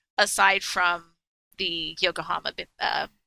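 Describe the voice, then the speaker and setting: A woman with a bright, sharp tone speaks at a very slow pace with very wide pitch swings, in a dry, close sound with no echo. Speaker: podcast panelist. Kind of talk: casual chat. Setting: online voice chat. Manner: animated.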